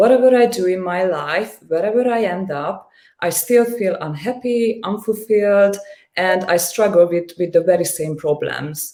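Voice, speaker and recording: A woman with a Hungarian accent, a dark, mellow tone, moderate pace and ordinary pitch variation. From Hungary. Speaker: coaching client. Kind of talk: interview testimony. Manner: halting, frequent repetitions and fillers.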